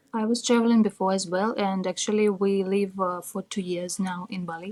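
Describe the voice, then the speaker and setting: A woman in a Russian accent speaks at a fairly quick pace, keeping a medium pitch and fairly even intonation. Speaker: tattoo artist. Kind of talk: interview.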